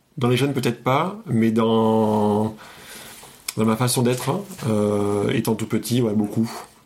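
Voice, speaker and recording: A man speaks at a very slow pace with long, frequent pauses, medium pitch, fairly even intonation and very even loudness. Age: 30s. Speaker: psychiatric nurse. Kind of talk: casual chat. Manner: halting.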